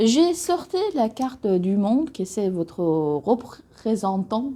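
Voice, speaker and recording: The woman's voice has a dark, mellow tone. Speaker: tarot reader. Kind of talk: tarot reading to camera. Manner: hesitant, many fillers.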